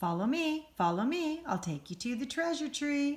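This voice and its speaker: A woman uses a put-on character voice, pitched high, at a moderate pace. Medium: read story. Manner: silly.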